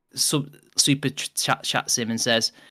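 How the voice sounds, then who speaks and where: Here a man talks with a Mancunian accent, his voice fairly high with ordinary pitch variation. The recording is very clean, with a silent background. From northern England, Manchester. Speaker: podcast co-host. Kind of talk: casual chat. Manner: animated.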